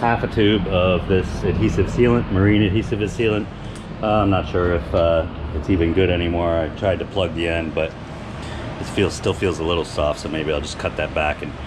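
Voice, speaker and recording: The talking is fairly brisk. Behind it, there is music. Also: man. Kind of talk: casual vlog chat. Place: bus. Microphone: phone near.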